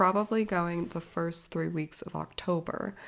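Over a very clean recording with a silent background, a woman speaks fairly slowly at a fairly low pitch in a normal speaking voice. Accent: General American. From Arizona, US. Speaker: podcast host. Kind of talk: casual solo podcast monologue.

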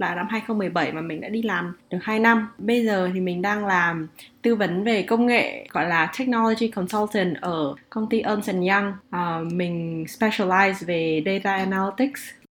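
A woman with an ordinary speaking voice at a medium pitch, at a fairly slow pace with ordinary pitch variation and hardly any pauses. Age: 20s. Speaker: management consultant. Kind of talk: casual chat.

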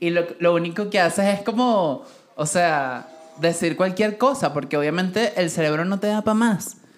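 Music plays in the background as a woman speaks at a moderate pace with lively intonation and a medium pitch. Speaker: podcast co-host. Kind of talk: casual chat. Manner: animated.

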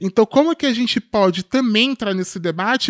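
A woman speaks with lively intonation. The recording is very clean, with a silent background and a dry, close sound with no echo. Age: 20s. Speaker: tech company executive and activist. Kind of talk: podcast interview.

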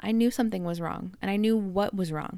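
A woman with a Canadian accent at a fairly quick pace, ordinary pitch variation, in a very clean recording with a silent background. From Canada. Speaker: health podcaster. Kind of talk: personal storytelling monologue.

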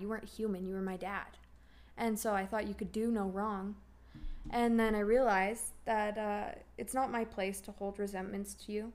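Speaking at a moderate pace, a woman has a plain, everyday voice with a fairly high pitch and fairly even intonation. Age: 20s. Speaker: daughter of a recovering addict. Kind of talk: casual interview.

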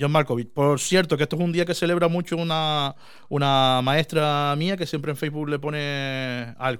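Fairly high in pitch, a man speaks in a normal speaking voice. His pace is moderate and his intonation fairly even. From Canary Islands. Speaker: podcast host. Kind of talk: casual chat. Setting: small room.

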